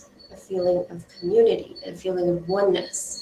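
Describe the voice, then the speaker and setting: Here is a woman with an unremarkable speaking voice. She talks at a moderate pace with fairly even intonation. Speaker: UX design instructor. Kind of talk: lecture.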